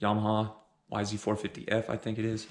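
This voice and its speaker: This man's voice sits at a fairly low pitch. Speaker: dirt bike and ATV vlogger. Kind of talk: casual vlog. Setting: at home early morning. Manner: quiet, keeping voice down.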